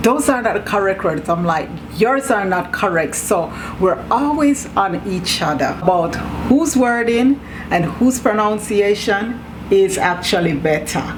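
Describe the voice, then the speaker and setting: With a Jamaican accent, a woman of medium pitch speaks fairly slowly with lively intonation, amid audible room echo and noticeable background noise. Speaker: YouTuber. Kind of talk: casual chat.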